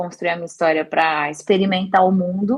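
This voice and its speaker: A woman at medium pitch, with ordinary pitch variation and a moderate pace. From interior of São Paulo state, Brazil (Bauru). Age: 40s. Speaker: career development consultant and mountaineer. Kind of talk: podcast interview. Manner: hesitant, with repeated words.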